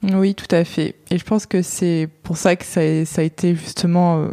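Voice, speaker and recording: This woman has a fairly low pitch, and the sound is dry and close with no echo. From central France (Touraine). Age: 20s. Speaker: podcast guest sharing personal story. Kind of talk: personal testimony in interview. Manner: hesitant, many fillers.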